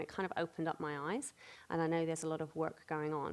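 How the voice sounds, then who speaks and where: A woman with a British accent, fairly low in pitch, at a very fast pace. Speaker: panel moderator. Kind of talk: panel moderation. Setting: stage with audience.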